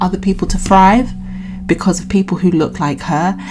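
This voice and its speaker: Music plays in the background. A woman with a British accent speaks at a medium pitch. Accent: British, drops T's. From Britain. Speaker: YouTube reaction vlogger. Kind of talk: casual commentary vlog. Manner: halting, many fillers and restarts.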